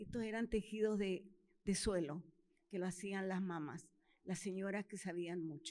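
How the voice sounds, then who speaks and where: A dark, mellow tone moves at a fairly slow pace, with ordinary pitch variation. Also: woman. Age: 80s+. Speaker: Andean community representative. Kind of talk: personal testimony.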